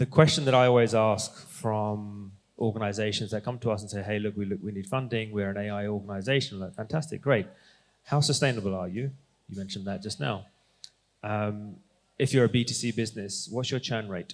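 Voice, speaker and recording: With an ordinary speaking voice, a man talks at a fairly quick pace with ordinary pitch variation. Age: 40s. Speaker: investor. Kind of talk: panel discussion.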